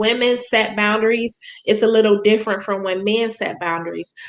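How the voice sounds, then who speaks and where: This woman's voice sits fairly high in pitch, with ordinary pitch variation. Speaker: relationship and ministry speaker. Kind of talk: livestream talk. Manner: halting, many fillers.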